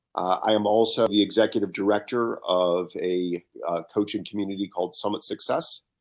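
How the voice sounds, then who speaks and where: This is an ordinary speaking voice: a man with an American accent and a fairly low pitch, talking at a fairly quick pace. His intonation stays fairly even, and the recording is very clean with a silent background. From northeastern US, Connecticut. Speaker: business coach and author. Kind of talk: podcast interview.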